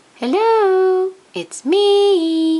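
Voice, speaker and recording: The put-on character voice is squeaky and sits at an extremely high pitch. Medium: read story. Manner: bright, eager.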